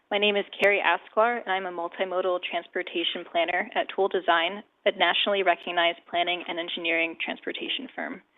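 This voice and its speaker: A woman speaks at a fairly quick pace with hardly any pauses, her fairly low voice keeping a fairly even intonation. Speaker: transportation planner. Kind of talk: presentation. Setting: council meeting. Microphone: too far from the microphone.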